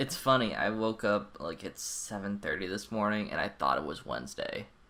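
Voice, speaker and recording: The voice has a bright, sharp tone with vocal fry and lively intonation, delivered at a moderate pace. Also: man, fairly low pitch for a man. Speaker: podcast co-host. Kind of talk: casual chat. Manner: casual, lots of filler words.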